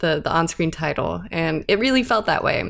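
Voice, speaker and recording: A woman's very deep, low voice with vocal fry, at a moderate pace. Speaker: podcast host. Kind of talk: casual chat.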